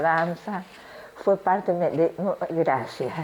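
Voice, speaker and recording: Noticeable background noise runs under this woman's voice. Her pitch is fairly low and her intonation fairly even. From Argentina, Tucumán. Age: 70s. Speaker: retired ballet dancer. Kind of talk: interview. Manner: halting, with fillers and restarts.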